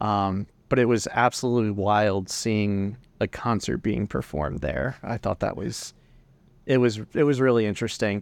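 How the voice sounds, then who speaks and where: Against a quiet background, a man with a plain, everyday voice speaks at a fairly low pitch and moderate pace, his intonation lively. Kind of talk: casual chat.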